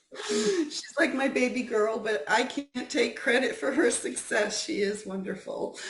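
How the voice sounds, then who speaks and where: The speech moves at a fairly slow pace with lively intonation and hardly any pauses. Noticeable background noise and audible room echo come through. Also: woman, high pitch for a woman. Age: 60s. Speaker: guest speaker, wellness advocate. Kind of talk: talk. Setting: video call.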